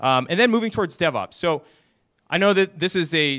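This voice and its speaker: A man's bright, sharp voice with lively intonation. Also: very clean recording, silent background. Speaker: technical operations director. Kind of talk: conference talk. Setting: stage with audience.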